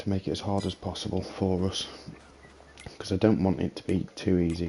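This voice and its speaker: Through noticeable background noise comes a man with a British accent and a very deep, low pitch. His intonation is monotone and flat, and his pace is fairly quick. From Britain. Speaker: video game streamer. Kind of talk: gameplay commentary. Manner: casual, thinking aloud.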